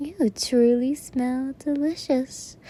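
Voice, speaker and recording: A woman puts on a character voice pitched high. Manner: seductive, menacing.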